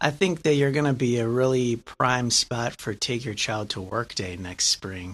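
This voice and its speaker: A man in a plain, everyday voice keeps to a medium pitch with ordinary pitch variation, speaking at a moderate pace with hardly any pauses. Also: very clean recording, silent background. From Lansing, Michigan. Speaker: podcast host. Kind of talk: interview. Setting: guest's office.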